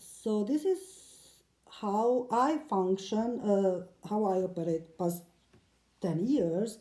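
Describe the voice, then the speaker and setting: A woman with a non-native accent speaks very slowly at a medium pitch with lively intonation. Her tone is dark and mellow. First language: not English. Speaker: silk mandala painter. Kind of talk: casual talk to camera. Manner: hesitant, many fillers.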